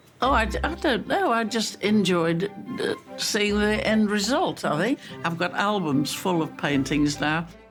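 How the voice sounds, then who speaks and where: Fairly slow speech with lively intonation and very even loudness, music in the background. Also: woman, medium pitch for a woman. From United Kingdom. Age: 80s+. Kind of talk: interview answer.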